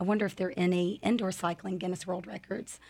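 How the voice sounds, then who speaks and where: On a very clean recording with a silent background, a woman with an American accent speaks in a normal speaking voice with fairly even intonation. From North Carolina. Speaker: indoor cycling studio owner and instructor. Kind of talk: casual interview.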